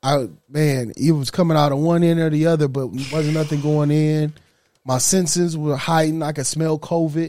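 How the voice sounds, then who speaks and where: A man speaks at a moderate pace with a fairly high pitch. His tone is dark and mellow, his intonation fairly even. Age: 30s. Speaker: podcast co-host, father. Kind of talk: casual chat.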